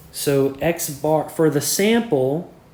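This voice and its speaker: Audible room echo surrounds the man who is speaking. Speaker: math teacher. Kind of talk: lecture. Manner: conversational, frequent 'okay' and 'all right'.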